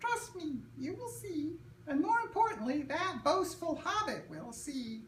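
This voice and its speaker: A squeaky, high-pitched put-on character voice at a fairly slow pace, with clear background noise. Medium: read story. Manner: gentle, humble.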